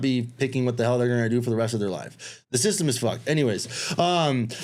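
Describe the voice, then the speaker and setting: Very fast speech with audible room echo. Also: man. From US, child of immigrants. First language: Spanish. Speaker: Army veteran and entrepreneur. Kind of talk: casual interview. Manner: casual, filler-heavy.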